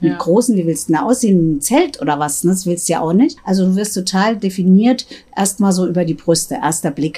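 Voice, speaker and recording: A woman speaks fairly quickly in a dark, mellow, somewhat breathy tone at a medium pitch, her intonation lively. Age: 50s. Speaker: sex shop owner. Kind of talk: casual chat. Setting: in a shop.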